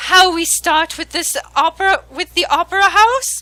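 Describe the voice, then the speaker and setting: An extremely high, put-on character voice carries the speech. It unfolds at a fairly slow pace. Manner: menacing, theatrical.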